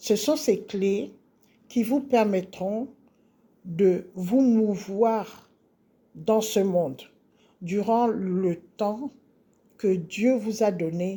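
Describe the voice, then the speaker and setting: A woman speaks at a medium pitch with a dark, mellow tone and ordinary pitch variation. She leaves long, frequent pauses. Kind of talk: spiritual teaching monologue. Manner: slow; hesitant with fillers.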